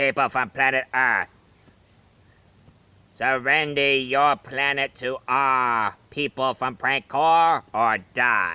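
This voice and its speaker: At a very slow pace, the man talks in a put-on character voice pitched at a medium level. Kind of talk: stilted dubbing. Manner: over-the-top dubbed villain.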